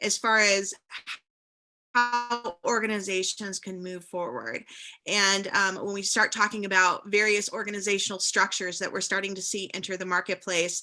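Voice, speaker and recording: A woman's medium-pitched voice with fairly even intonation and big swings in loudness, music playing behind her. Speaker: change leadership panelist. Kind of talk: panel discussion. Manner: fast.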